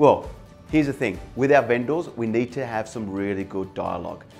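A man at a moderate pace, with faint music in the background. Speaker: sales coach. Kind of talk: motivational talk to camera. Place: office. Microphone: lapel.

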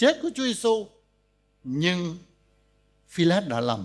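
With a quiet background, a man talks at a fairly slow pace. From Vietnam. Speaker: pastor; pastor preaching. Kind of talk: sermon. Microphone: podium.

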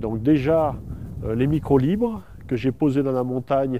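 This man's voice has a dark, mellow tone. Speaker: nature sound recordist. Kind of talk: documentary field explanation. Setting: outdoors.

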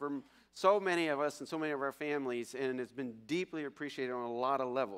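A man speaks at a fairly quick pace. His pitch variation is ordinary. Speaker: pastor giving announcements. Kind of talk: church announcements. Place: church. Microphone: podium.

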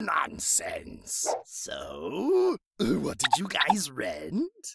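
A man talks very slowly in a cartoonish character voice. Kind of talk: comic overacting. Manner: boastful, self-absorbed, whiny about the movie.

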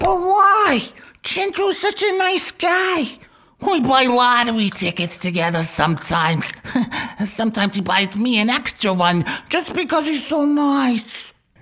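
A woman talks at a high pitch and a moderate pace. Her pitch swings very widely. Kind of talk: comic gangster sketch. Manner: naive, cheerful, slow.

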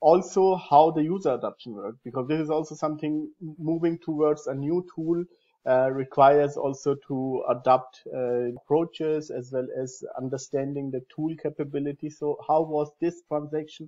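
A man's intonation stays fairly even as he talks at a moderate pace in a quiet background. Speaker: host of software training series. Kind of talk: interview introduction. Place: home room. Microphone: earbuds.

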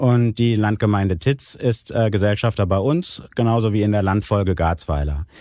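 Speaking at a moderate pace, a man uses a fairly low pitch, a dark, mellow tone and ordinary pitch variation. His loudness stays very even, and he takes hardly any pauses. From Germany, Aachen (Rhineland). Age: 40s. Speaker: regional development manager. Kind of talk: interview. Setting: studio. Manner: hesitant, many filler sounds.

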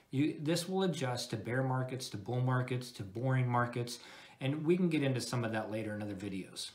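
A somewhat breathy voice at a fairly quick pace. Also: man. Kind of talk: product review talk over slides.

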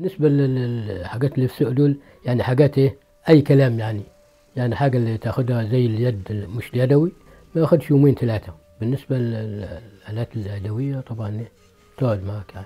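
At a fairly quick pace, a man with a medium pitch speaks with ordinary pitch variation and big swings in loudness. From Egypt. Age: 60s. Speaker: blacksmith. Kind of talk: interview. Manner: halting. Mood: calm, proud of craft.

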